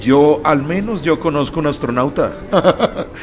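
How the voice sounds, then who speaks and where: A man's fairly high-pitched voice with ordinary pitch variation, over noticeable background noise. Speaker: radio host. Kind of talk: radio interview. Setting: bar venue radio studio. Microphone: echo.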